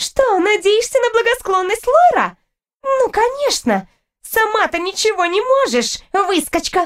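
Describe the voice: Using a put-on character voice, a woman speaks at an extremely high pitch with big pitch swings and a fairly slow pace.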